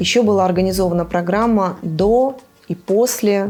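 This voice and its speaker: The pace is moderate and the pitch varies in an ordinary way. Behind the voice, music can be heard. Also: woman. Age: 40s. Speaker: travel company founder. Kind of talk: interview. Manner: hesitant.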